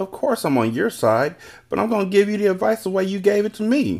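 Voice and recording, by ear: Putting on a character voice, a man speaks at a high pitch and a fairly quick pace, with vocal fry, a slightly mellow tone and lively intonation.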